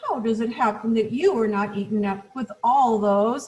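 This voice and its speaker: A woman puts on a character voice at a fairly high pitch. She moves at a moderate pace. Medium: read story.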